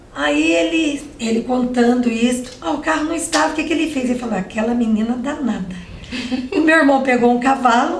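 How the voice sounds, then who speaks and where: Over noticeable background noise and audible room echo, a woman speaks at a high pitch and a fairly quick pace, her pitch swinging very widely. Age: 60s. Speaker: civil engineer. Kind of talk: interview.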